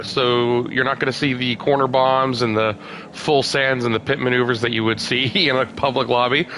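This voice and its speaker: Against noticeable background noise, a man of medium pitch speaks at a fairly quick pace. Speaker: racing league live-stream commentator. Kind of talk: live commentary. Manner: casual, hesitant with fillers.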